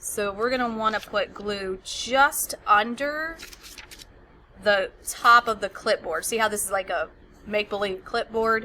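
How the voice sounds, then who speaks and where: A woman with a normal speaking voice and a fairly high pitch. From United States. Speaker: teacher. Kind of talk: tutorial. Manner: casual.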